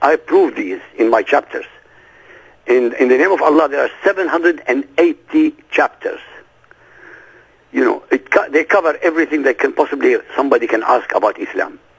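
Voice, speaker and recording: A man speaks with an Arabic accent at a moderate pace. The sound is dry and close, with no echo. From Iraq. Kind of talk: interview.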